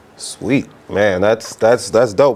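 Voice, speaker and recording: A man talks at a fairly slow pace with lively intonation. There is noticeable background noise. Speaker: radio DJ and interview host. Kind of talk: radio interview host talk.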